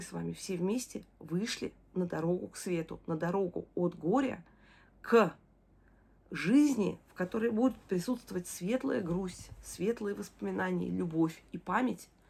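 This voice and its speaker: A woman speaks at medium pitch and a fairly slow pace. Her voice has vocal fry and ordinary pitch variation. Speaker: video diarist, bereaved mother. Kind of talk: personal video diary. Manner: warm, emotional.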